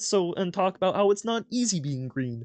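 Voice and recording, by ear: The voice sits at a middle pitch. It is a put-on character voice. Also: moderate pace.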